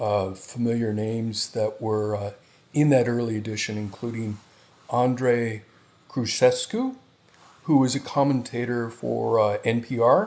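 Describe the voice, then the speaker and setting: This man talks at a fairly slow pace. His pitch is medium and his intonation is fairly even. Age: 60s. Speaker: poet, retired software engineer. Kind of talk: casual interview. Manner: halting, many fillers.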